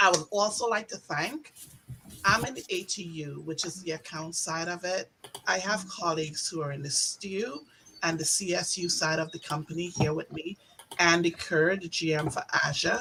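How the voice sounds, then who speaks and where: A woman's fairly low pitch in a Trinidadian accent, at a moderate pace with ordinary pitch variation, over noticeable background noise. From Trinidad and Tobago. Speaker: sales account manager. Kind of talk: virtual event welcome speech. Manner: animated.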